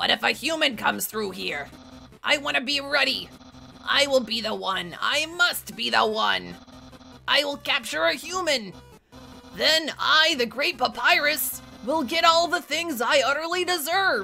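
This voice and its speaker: Over clear music in the background, a woman uses a put-on character voice at a moderate pace. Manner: pompous, loud, excitable.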